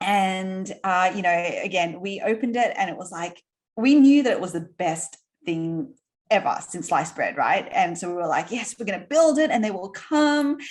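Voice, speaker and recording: An animated woman with an Australian accent, moderate pace and very wide pitch swings. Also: medium pitch for a woman. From Australia, Sydney. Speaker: entrepreneur. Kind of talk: interview conversation.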